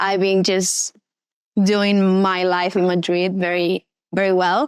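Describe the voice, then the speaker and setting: In a very clean recording with a silent background and a dry, close sound with no echo, a woman speaks at medium pitch with an Argentine accent. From Argentina. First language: Spanish. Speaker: actress and model. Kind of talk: casual interview. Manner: halting, searching for words.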